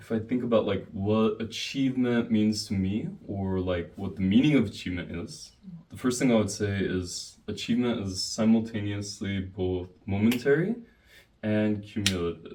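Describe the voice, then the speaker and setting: Speaking at a very slow pace, this man has a fairly low pitch and a dark, mellow tone. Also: ordinary pitch variation. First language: English (speaking Korean). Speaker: YouTuber. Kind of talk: casual chat.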